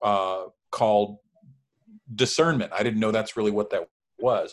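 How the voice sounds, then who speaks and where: A man with a medium pitch talks at a moderate pace in an unremarkable speaking voice. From Mexican-American family, US. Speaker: former minister. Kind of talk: casual chat.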